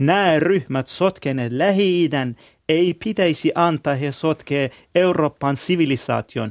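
A man with a Kurdish accent speaks at a very slow pace, fairly high in pitch with ordinary variation. The background is quiet and the sound dry and close, with no echo. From Iran. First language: Kurdish (speaking Finnish). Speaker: Middle East researcher and consultant. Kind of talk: discussion.

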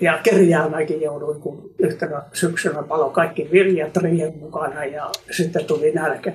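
A man speaks in a monotone, flat intonation at a fairly high pitch with hardly any pauses. Noticeable background noise is present. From Finland. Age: 80s+. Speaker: gemologist. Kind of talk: interview.

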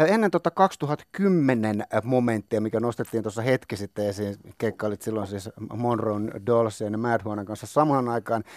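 A man with an ordinary speaking voice talks at a medium pitch and moderate pace, his intonation lively. The sound is dry and close, with no echo. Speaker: radio host. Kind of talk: radio interview.

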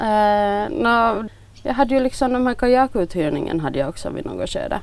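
A speaker with a Finland-Swedish accent talks at a moderate pace. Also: woman. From Finland, Swedish-speaking Nyland (Bromarv). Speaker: village shop owner. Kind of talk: interview.

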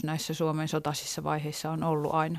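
A woman speaks with a very deep, low pitch. The sound is dry and close with no echo, a very clean recording with a silent background. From Finland, urban. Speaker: novelist. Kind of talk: interview.

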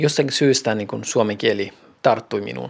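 A man speaks at a very slow pace. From Iranian Kurdistan, then Finland from age 16. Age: 40s. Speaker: planning manager. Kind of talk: interview testimony.

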